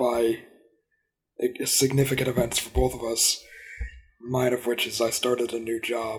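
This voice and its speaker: A man does a put-on character voice, raspy and flat in a monotone, at medium pitch and a moderate pace with long, frequent pauses. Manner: bored, flat delivery.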